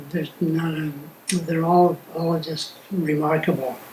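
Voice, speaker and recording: A man talks at a fairly high pitch with fairly even intonation. Noticeable background noise and audible room echo are present. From US West Coast, Los Angeles. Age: 80s+. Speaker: family elder interviewed for memoir video. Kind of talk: reminiscing interview. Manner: halting, many fillers and restarts.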